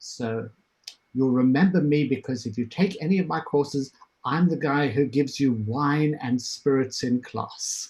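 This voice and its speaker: Somewhat breathy and fairly high in pitch, a man with a South African accent talks at a fairly slow pace. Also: ordinary pitch variation. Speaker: professor. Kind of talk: self-introduction on panel. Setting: video call.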